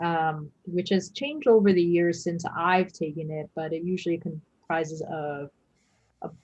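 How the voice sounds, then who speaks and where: A woman speaks fairly slowly with a Chinese accent, her fairly low, somewhat breathy voice holding a fairly even intonation. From US, New York. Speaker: emergency physician. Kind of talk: lecture.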